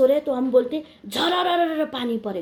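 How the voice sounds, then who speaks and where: Speaking with a Nepali accent, a woman uses a high pitch with very wide pitch swings. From India, Darjeeling hills (Indian Gorkha). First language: Nepali (speaking Hindi). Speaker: video blogger. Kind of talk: informal talk to camera.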